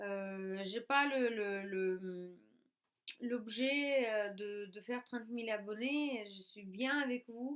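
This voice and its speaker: Her pace is very slow, with big swings in loudness. This woman has a fairly high pitch and ordinary pitch variation. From Russia. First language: Russian (speaking French). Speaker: YouTuber. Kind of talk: vlog talk to camera. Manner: halting, many fillers.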